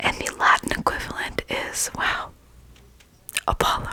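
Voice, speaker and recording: Fairly slow whispering from a woman, with noticeable background noise. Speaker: ASMR creator. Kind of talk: ASMR sleep reading. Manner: whispered, soft.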